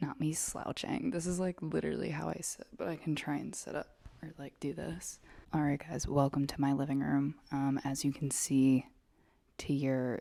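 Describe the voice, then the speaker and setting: Someone whispers on a very clean recording with a silent background. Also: moderate pace. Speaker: vlogger. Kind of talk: casual chat. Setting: home, living room floor. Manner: whispering. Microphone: new microphone.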